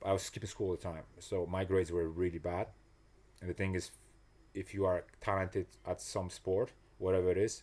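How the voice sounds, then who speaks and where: A man with a very deep, low pitch and a non-native accent talks at a fairly quick pace in a monotone, flat intonation, broken by long, frequent pauses. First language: not English. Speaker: personal trainer and motivational coach. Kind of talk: casual interview chat. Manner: halting, many restarts and fillers.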